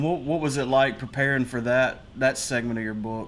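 The speaker is a man with a plain, everyday voice, fairly high in pitch. He keeps a moderate pace and fairly even intonation. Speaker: podcast host. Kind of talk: casual chat.

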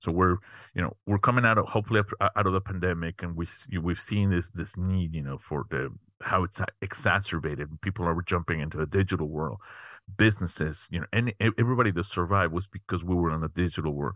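In a Spanish accent, a man speaks at a very fast pace, his very deep, low pitch showing ordinary variation. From Mexico City, Mexico. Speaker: tech company founder and CEO. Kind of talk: interview. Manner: halting, many fillers.

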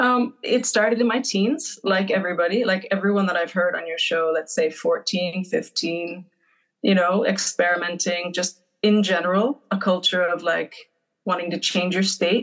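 In an ordinary speaking voice, a woman keeps to a moderate pace. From New Hampshire, US. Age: 50s. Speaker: pub owner. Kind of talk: casual chat.

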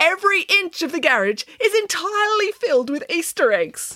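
A woman performs a put-on character voice at an extremely high pitch. Her tone is bright and sharp, with big pitch swings. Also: moderate pace.

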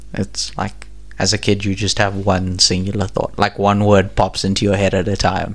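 At a moderate pace, a man speaks in a fairly low pitch with vocal fry and a monotone, flat intonation. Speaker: podcast co-host.

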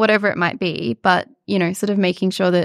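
In an Australian accent, a woman speaks at a fairly quick pace, the sound dry and close with no echo. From far north Queensland, Australia. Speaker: psychiatry registrar and peer support charity founder. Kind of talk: interview.

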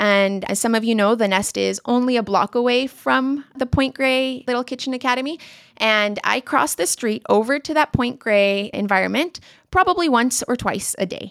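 A woman's high-pitched, animated voice with ordinary pitch variation and a dry, close sound with no echo. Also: moderate pace. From Asia (Singapore, Hong Kong, Shanghai) and Colombia. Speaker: recipe and curriculum manager. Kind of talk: interview.

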